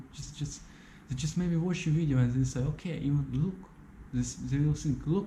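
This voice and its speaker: With a non-native accent and a dark, mellow, somewhat breathy tone, a man speaks at a fairly quick pace in a fairly high pitch with ordinary pitch variation, amid audible room echo. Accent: non-native English, says his English is bad. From Ukraine. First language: Russian. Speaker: YouTuber. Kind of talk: video monologue. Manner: halting, repeats words; passionate.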